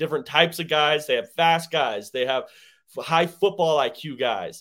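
On a very clean recording with a silent background, a man with an American accent talks at a moderate pace. He has an ordinary speaking voice, fairly high in pitch. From Denver, Colorado. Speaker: sports podcast co-host. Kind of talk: casual chat.

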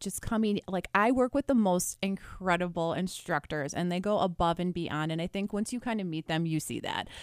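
An unremarkable speaking voice with lively intonation at a moderate pace, dry and close with no echo, on a very clean recording with a silent background. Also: woman. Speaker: nursing instructor. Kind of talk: radio interview. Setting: radio studio.

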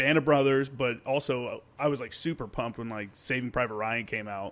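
A man speaks at a fairly quick pace in medium pitch. His is an unremarkable speaking voice with ordinary pitch variation. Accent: American. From US South, Tennessee. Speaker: podcast host, Marine veteran. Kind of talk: casual chat.

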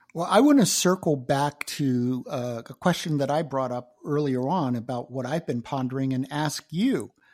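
At a moderate pace and with hardly any pauses, the voice carries an American accent on a very clean recording with a silent background. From US South. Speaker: entrepreneur and author. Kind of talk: interview conversation.

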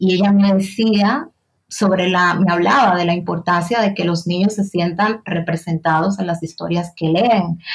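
Somewhat breathy and fairly low-pitched, a woman speaks at a fairly slow pace with fairly even intonation. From Dominican Republic, San Cristóbal province. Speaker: writer and journalist. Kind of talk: interview conversation.

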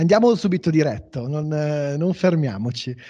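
Somewhat breathy, a man talks at a moderate pace and a fairly high pitch with lively intonation. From northern Italy, Como. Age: 30s. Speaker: podcast host. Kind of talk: interview.

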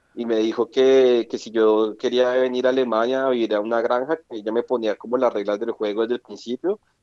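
A man with a medium-pitched voice and a dark, mellow tone talks at a fairly quick pace with hardly any pauses. His intonation is monotone and flat, and the sound is dry and close with no echo. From Colombia, Bogotá. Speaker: electronics engineer, former au pair. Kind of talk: casual interview. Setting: phone call.

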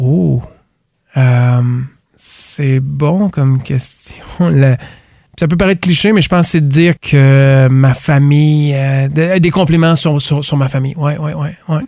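A man speaks at a very slow pace in a dark, mellow tone. His pitch is fairly high, with ordinary pitch variation. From Quebec, Gaspésie. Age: 40s. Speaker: business owner. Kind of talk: interview. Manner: halting.

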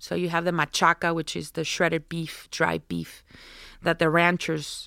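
Her voice is fairly low in pitch, bright and sharp with vocal fry, and this woman speaks at a moderate pace in a dry, close recording with no echo, a very clean sound and a silent background. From Sonora, Mexico. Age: 40s. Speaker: chef and restaurant owner. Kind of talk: casual interview chat.

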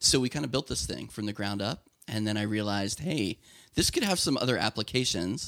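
With an American accent, a man speaks in an ordinary speaking voice at a fairly low pitch. His pace is fairly quick and his intonation lively. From Lancaster County, Pennsylvania. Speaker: software company founder. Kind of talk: interview.

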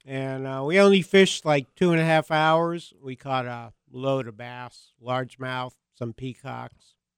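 A man with a normal speaking voice talks fairly slowly at a medium pitch with ordinary pitch variation and hardly any pauses. The sound is dry and close, with no echo. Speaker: fishing writer and radio host. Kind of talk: casual chat. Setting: studio.

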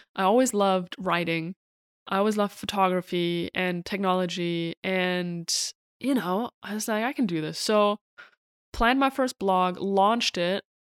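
A woman with a German accent at a moderate pace, medium pitch and ordinary pitch variation, in a dry, close sound with no echo. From Germany. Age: 30s. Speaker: podcast host, entrepreneur. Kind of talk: solo personal storytelling.

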